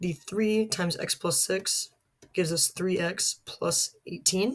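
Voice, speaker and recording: A woman speaks at a medium pitch with ordinary variation. Her voice is somewhat breathy. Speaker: math teacher. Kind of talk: tutorial.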